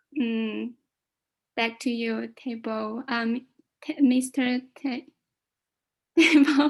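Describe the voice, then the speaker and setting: With a Chinese accent, a woman speaks at a very slow pace and a high pitch, her intonation fairly even and her speech marked by long, frequent pauses. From China. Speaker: club guest. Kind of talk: impromptu speech. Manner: halting.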